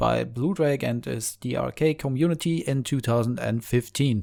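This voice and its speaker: In a very clean recording with a silent background, a man with a German accent speaks at a medium pitch with ordinary pitch variation. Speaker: indie game developer. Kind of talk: video blog.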